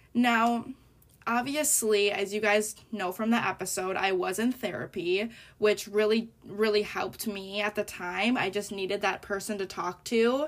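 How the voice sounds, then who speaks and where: A woman with an unremarkable speaking voice talks at a moderate pace, medium in pitch with ordinary pitch variation. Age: 20s. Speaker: podcast host, college student. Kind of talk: casual monologue.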